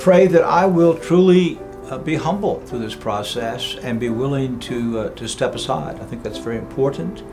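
A man speaks at a moderate pace while clear music plays behind him. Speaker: seminary president. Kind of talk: institutional announcement to camera. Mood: warm, grateful, humble. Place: home room.

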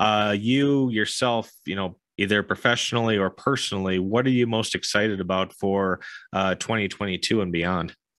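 With a normal speaking voice, a man speaks at a fairly low pitch and a moderate pace with fairly even intonation, against a quiet background with a dry sound with no echo. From US, Florida. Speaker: podcast host and investor; podcast host. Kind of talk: interview. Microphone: studio mic.

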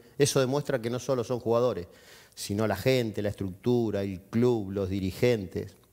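With a quiet background, a man talks at a moderate pace in a dark, mellow tone, medium pitch and ordinary pitch variation. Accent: Argentine. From Junín, Buenos Aires province, Argentina; Buenos Aires province, Argentina. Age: 50s. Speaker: football club president; guest. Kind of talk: TV interview. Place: studio. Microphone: headset.

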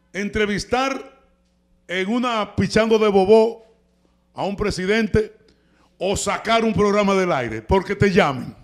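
In a Dominican accent, a loud man with a high voice talks at a fairly slow pace in an animated tone, using ordinary pitch variation and long, frequent pauses against a quiet background. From Dominican Republic. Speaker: TV talk show host. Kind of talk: heated commentary. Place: studio. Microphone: handheld.

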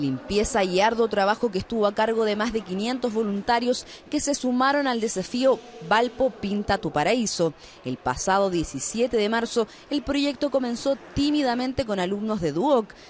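With a Chilean accent, a woman speaks at a fairly slow pace and fairly high pitch with lively intonation, over noticeable background noise. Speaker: TV news reporter. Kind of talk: news report narration.

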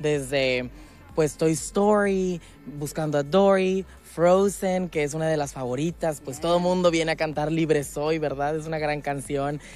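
Music plays behind a man speaking at a fairly slow pace, his pitch fairly high and his intonation fairly even. The sound is dry, with no echo. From Mexico, Mexico City. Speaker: figure skater and show host. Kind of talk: promotional interview. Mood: cheerful, enthusiastic. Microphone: handheld.

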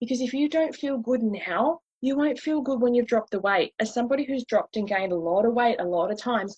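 A woman's slightly mellow tone with a slightly husky edge. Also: fairly high pitch for a woman, ordinary pitch variation, fairly quick pace, dry, close sound with no echo.

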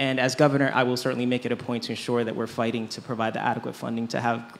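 A very fast pace and monotone, flat intonation over light background noise. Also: man. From Rhode Island, Central Falls; Rhode Island. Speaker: gubernatorial candidate; candidate. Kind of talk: candidate forum answers. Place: tent.

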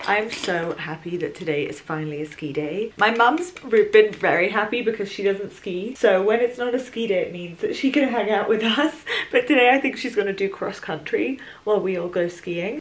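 A woman talks at a moderate pace with hardly any pauses. Her intonation is lively. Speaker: vlogger. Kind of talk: casual vlog chat. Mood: cheerful, chatty. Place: home room. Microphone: camera far.

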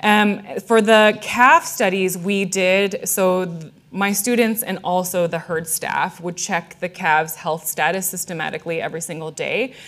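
A woman's medium-pitched voice with ordinary pitch variation. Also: fairly slow pace. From US Midwest, Illinois. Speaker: animal welfare scientist, professor; professor. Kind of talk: public science lecture; audience Q&A. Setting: stage with audience, microphone. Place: hall.

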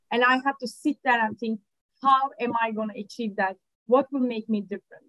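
Against a quiet background, a woman with a Turkish accent speaks with fairly even intonation in a dry sound with no echo. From Turkey, Ankara. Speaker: litigation funder. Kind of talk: interview. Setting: video call. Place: office. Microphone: video call.

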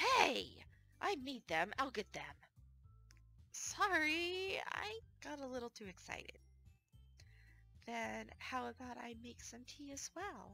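A woman at a very slow pace with long, frequent pauses and big swings in loudness, a dry sound with no echo, and faint music in the background. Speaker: gaming streamer. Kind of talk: visual novel read-aloud. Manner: low mic volume. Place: home room.

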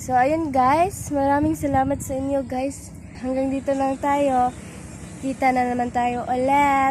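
A woman speaks at a high pitch with monotone, flat intonation over noticeable background noise. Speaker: vlogger. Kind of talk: casual vlog. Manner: giggly, laughing often.

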